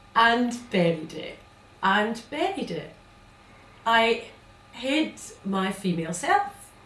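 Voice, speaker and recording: A woman speaks at a very slow pace, with long, frequent pauses and very wide pitch swings. Her loudness swings a lot, and the room echo is audible. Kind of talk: theatrical monologue. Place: stage. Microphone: camera far.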